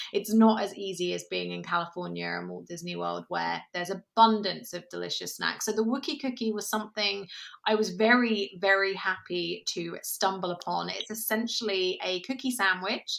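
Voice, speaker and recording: A woman with a British accent speaks at a moderate pace with hardly any pauses, on a very clean recording with a silent background. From England. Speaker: podcast co-host. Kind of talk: casual chat.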